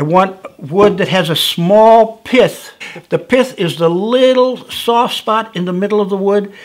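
In a quiet background, a man talks at a fairly slow pace. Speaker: whittling instructor. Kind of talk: tutorial. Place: studio.

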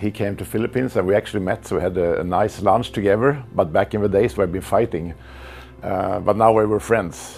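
Music plays in the background as a man talks at a fairly quick pace, his fairly low pitch showing ordinary variation. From Sweden. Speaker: martial arts grandmaster. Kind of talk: interview answer, reminiscing. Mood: warm, reminiscing. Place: home room. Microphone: lapel.

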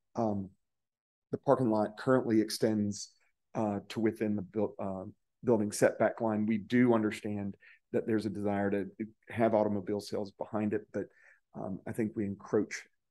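A man with a dark, mellow tone and fairly low pitch talks at a moderate pace in a flat monotone, leaving long, frequent pauses against a quiet background. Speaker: civil engineer representing a property owner. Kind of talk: public hearing presentation. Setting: city council chamber at a podium. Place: hall. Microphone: podium.

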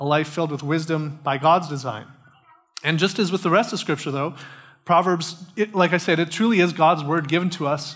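The speaker is a man. Behind him, the background stays quiet. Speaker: pastor. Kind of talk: sermon. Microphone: headset.

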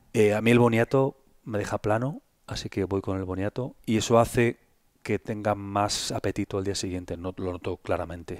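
Here is a man with an ordinary speaking voice, pitched fairly low, at a moderate pace. The sound is dry with no echo, the intonation fairly even, and the background quiet. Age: 50s. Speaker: health content creator. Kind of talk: interview conversation. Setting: in person at host's home. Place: home room. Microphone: headset.

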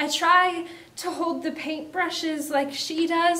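A woman speaks in a dramatic tone at a fairly slow pace. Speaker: spoken word poet. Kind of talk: spoken word poem, performed reading of a personal poem about makeup and self-image. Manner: measured, expressive poetic delivery with dramatic pauses, building emotion; reflective, earnest, confessional. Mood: emotional, intense, dramatic. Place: studio.

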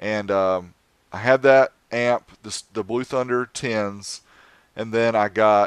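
In an American accent, the speaker goes at a very slow pace with fairly even intonation, and the sound is dry with no echo. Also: man, quiet background. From US South, North Carolina. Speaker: car audio YouTuber; podcast guest. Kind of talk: casual chat. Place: home room. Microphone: headset.

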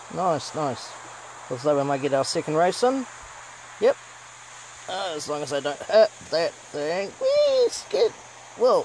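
With a New Zealand accent, the speaker talks in an animated tone at a fairly slow pace, pausing long and often, over noticeable background noise. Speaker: gaming YouTuber. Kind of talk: gameplay commentary. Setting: home recording, gameplay. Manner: animated, exclamatory.

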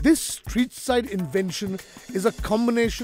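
A man talks at a fairly slow pace. The sound is dry with no echo, and faint music plays in the background. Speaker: TV food show host. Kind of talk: presenter talk to camera and interview.

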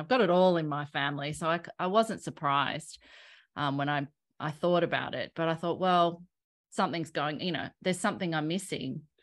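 A woman with an Australian accent, very deep and low in pitch with ordinary variation, at a fairly quick pace against a quiet background. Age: 40s. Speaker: health coach and personal trainer. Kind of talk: interview. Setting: video call. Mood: reflective, earnest. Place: home room. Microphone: studio mic.

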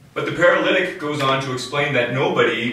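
Over light background noise with audible room echo, a man talks at a moderate pace. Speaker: priest. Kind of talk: sermon. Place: home room. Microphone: camera far.

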